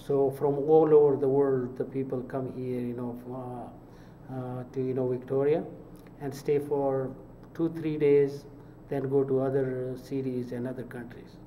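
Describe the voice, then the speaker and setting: Amid noticeable background noise and audible room echo, a man speaks fairly slowly in a monotone, flat delivery with big swings in loudness. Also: medium pitch for a man. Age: 70s. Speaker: mosque fundraising director. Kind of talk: interview. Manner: halting, many fillers.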